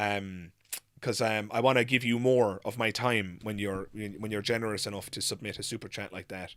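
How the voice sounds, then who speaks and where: A man speaks with an Irish accent at a moderate pace. The recording is very clean, with a silent background. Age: 30s. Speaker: YouTuber, atheist commentator. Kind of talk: live stream Q&A. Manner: halting, many fillers.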